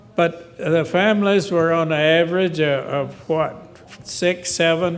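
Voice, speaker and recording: A man's high-pitched voice stays monotone and flat in intonation, with noticeable background noise in the recording. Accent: American. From western North Carolina. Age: 80s+. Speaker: audience member. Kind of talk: Q&A comment. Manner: halting.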